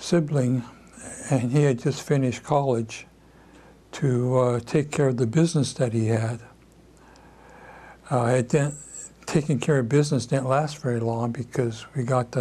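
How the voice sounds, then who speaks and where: In a Pacific Northwest accent, a man speaks at medium pitch with fairly even intonation, a somewhat breathy, dark and mellow tone, and long, frequent pauses. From Seattle, USA. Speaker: civil rights leader. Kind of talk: oral history interview answer. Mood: reflective, calm recollection. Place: home room.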